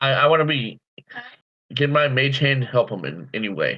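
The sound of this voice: At a moderate pace, a man with a medium pitch speaks with big pitch swings.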